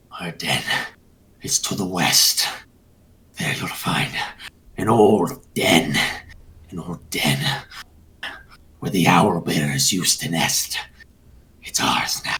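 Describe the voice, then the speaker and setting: A put-on character voice growls in a raspy, very deep, low pitch at a fairly slow pace, with long, frequent pauses. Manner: snarling, hostile.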